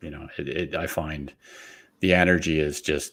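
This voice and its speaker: A man with a very deep, low voice speaks in a monotone, flat way. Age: 50s. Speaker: keto content creator. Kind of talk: casual interview chat. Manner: halting, many fillers.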